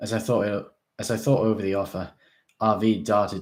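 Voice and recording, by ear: Natural-voiced reading over silence in the background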